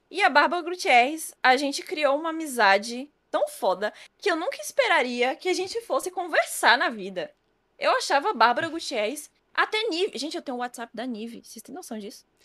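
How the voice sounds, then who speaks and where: Her voice is high-pitched with a bright, sharp tone and a fairly quick pace. This woman's pitch swings very widely and her loudness shifts a lot. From Brazil, Federal District surroundings. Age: 20s. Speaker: esports presenter and influencer. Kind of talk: casual chat. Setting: live-streamed podcast studio.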